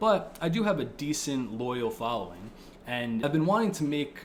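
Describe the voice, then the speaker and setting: A man with an American accent and lively intonation, amid audible room echo and noticeable background noise. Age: 20s. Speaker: political video creator. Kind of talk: casual monologue. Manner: casual, filler-heavy.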